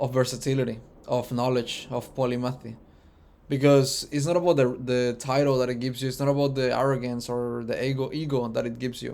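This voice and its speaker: Here a man with a Spanish accent talks at a fairly quick pace. His medium-pitched voice has a monotone, flat intonation. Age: 20s. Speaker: vlogger. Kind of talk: personal reflection monologue. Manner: halting with fillers.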